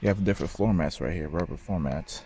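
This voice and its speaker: A man talks quietly at a very fast pace. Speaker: car reviewer. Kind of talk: casual vlog review. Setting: car showroom. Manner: quiet, low voice.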